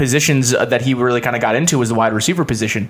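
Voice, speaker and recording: Words come at a very fast pace. The accent is American. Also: man. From Buffalo area, western New York. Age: 20s. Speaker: radio host. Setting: studio.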